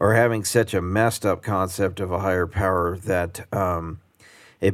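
A man with an unremarkable speaking voice talks at a moderate pace, his pitch fairly low and his intonation fairly even. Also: very clean recording, silent background. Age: 50s. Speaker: recovering alcoholic and sponsor. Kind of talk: casual chat.

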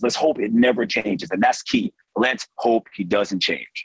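A man with vocal fry and very wide pitch swings. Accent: American. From South Florida. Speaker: TV sports reporter. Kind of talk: casual interview.

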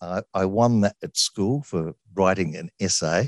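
Against a quiet background, a man with an Australian accent and a fairly low voice uses lively intonation, the sound dry and close with no echo. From Sydney, Australia. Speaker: radio presenter. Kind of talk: interview.

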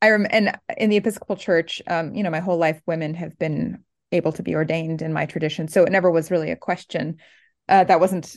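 A woman with an American accent and vocal fry, very fast and fairly even in intonation, against a quiet background. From Oregon, US West Coast. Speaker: New Testament professor. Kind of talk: interview.

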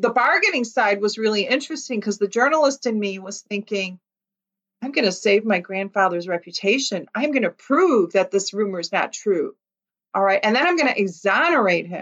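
In a Chicago accent, a woman speaks at a fairly high pitch with lively intonation. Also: fairly quick pace. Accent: Chicago American. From US Midwest, Chicago Lithuanian community. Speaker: author and former journalist. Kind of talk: interview.

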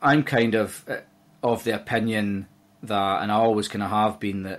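With a Scottish accent, a man talks at a fairly slow pace in a monotone, flat intonation and a fairly low pitch. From Scotland, Dumfries (southwest). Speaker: golf course manager. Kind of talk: podcast interview.

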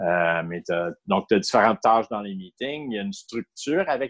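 With a Canadian French accent, a man speaks at a moderate pace and medium pitch, his intonation lively and the sound dry and close with no echo. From Ottawa, Ontario, Canada. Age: 50s. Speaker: person in recovery from alcohol addiction. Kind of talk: personal testimony interview.

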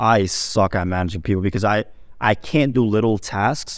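A man's fairly low voice, with ordinary pitch variation, is heard on a very clean recording with a silent background. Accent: Turkish. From grew up partly in Turkey, moved to New York (Staten Island) at 7. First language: Turkish. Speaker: Amazon wholesale seller. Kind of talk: casual chat.

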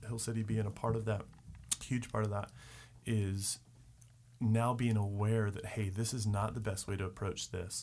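A plain, everyday voice with an American accent moves at a fairly quick pace. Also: man. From Richmond, Virginia. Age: 30s. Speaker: real estate worker. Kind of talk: casual chat.

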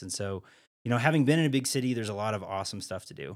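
Recorded very cleanly against a silent background, a man speaks with an American accent and ordinary pitch variation. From US Midwest, Iowa. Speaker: artist and middle school art teacher. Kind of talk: casual interview. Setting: inside a parked caboose.

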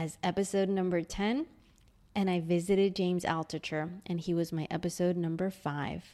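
Speaking at a medium pitch with ordinary pitch variation, a woman has a dark, mellow tone. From New York City (Queens). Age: 40s. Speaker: podcaster. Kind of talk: personal storytelling.

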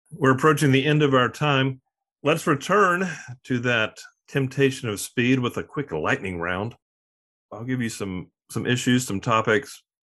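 A man with an American accent speaks at a moderate pace, his tone bright and sharp. His intonation is lively, and the background is quiet. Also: medium pitch for a man. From Arklatex region, US South. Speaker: podcast host. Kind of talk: interview conversation.

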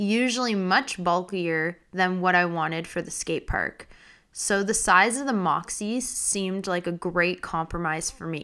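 The voice has a bright, sharp tone, ordinary pitch variation and a fairly slow pace. The recording is very clean, with a silent background. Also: woman. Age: 30s. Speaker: podcast host, roller skater. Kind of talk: casual monologue.

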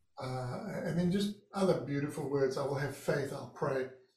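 A man's fairly high voice in a non-native accent, with fairly even intonation. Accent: foreign-accented English, non-American. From living in California, born outside the US. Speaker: surfer and author. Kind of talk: interview conversation.

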